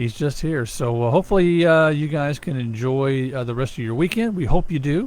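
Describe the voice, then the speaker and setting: Speaking fast with hardly any pauses, a man with an American accent has a fairly high pitch, ordinary pitch variation and a fairly quick pace. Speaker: radio host. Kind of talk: casual chat.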